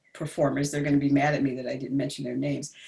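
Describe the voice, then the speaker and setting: In an American accent, a woman speaks with a very deep, low pitch and a somewhat breathy quality. Her intonation stays fairly even. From New Jersey, US. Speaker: jazz vocalist and vocal coach. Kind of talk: interview. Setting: livestream video.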